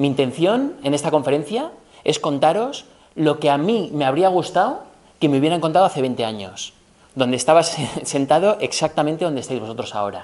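The delivery moves at a fairly quick pace. Its intonation is lively. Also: man, fairly high pitch for a man. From Spain. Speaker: business professor, former tech executive; business professor. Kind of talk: lecture. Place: hall.

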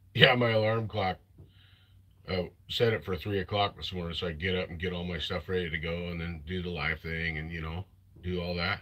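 A man speaks with a very deep, low pitch. His pitch variation is ordinary. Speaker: chainsaw hobbyist streamer. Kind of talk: casual live stream chat. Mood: amused, laughing. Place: workshop. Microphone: phone near.

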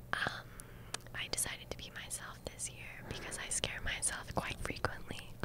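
Whispering at a moderate pace, a woman's loudness swings widely. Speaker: ASMR video host. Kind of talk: ASMR whispered news-style skit. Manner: soft-spoken, whispering. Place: studio. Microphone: studio mic.

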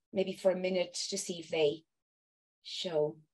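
Here is a woman with a fairly low pitch. She speaks at a moderate pace. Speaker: presenter. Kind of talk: casual call chat. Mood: slightly flustered, friendly. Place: home room. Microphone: earbuds.

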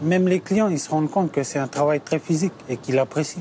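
The voice has a dark, mellow tone. Light background noise is present. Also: man, dry sound with no echo. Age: 30s. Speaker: delivery driver. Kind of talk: interview testimony; interview answer. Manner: halting. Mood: calm, reflective. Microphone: lapel.

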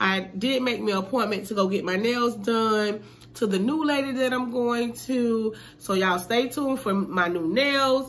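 With ordinary pitch variation, the woman talks at a moderate pace. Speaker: vlogger. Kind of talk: casual vlog chat. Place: home room. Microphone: phone near.

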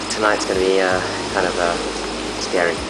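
Music plays behind a man as he talks. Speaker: resident reporting weather. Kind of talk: casual vlog chat. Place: home room. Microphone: phone near.

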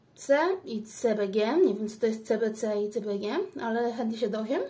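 A woman's fairly high pitch with a dark, mellow tone, ordinary pitch variation and a fairly slow pace. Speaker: beauty vlogger. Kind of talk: product unboxing review. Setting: daughter's room at home. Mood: curious, pleased. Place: home room. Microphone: phone near.

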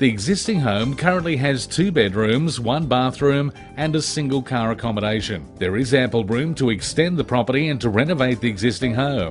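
Over music in the background, a man with a medium pitch speaks at a fairly quick pace with lively intonation and hardly any pauses. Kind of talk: real estate property listing voiceover.

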